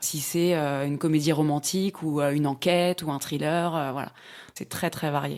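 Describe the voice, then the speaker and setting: Her pitch is very deep and low, with monotone, flat intonation. This woman keeps to a moderate pace. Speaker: voice actor. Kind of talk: casual interview answer explaining her profession.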